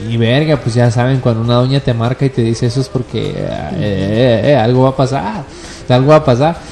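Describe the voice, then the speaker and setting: A man speaks in a medium pitch with a Mexican accent. Noticeable background noise can be heard. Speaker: cannabis user guest. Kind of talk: casual chat. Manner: animated.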